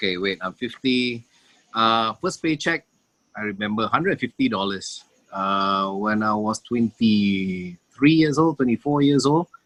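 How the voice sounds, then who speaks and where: A man's medium-pitched voice with lively intonation at a fairly slow pace, dry and close with no echo. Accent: Singaporean. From Singapore. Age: 40s. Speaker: emcee. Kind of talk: casual chat. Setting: video call.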